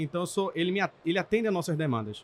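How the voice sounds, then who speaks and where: Very fast, lively speech with a dry, close sound and no echo. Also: man. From Brazil, Pernambuco (Recife). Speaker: technology director at car dealership group. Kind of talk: podcast interview. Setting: trade event.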